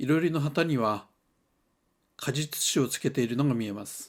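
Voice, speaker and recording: A man's medium-pitched voice with ordinary pitch variation at a moderate pace, in a very clean recording with a silent background. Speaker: hot spring travel reviewer. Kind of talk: travel vlog narration.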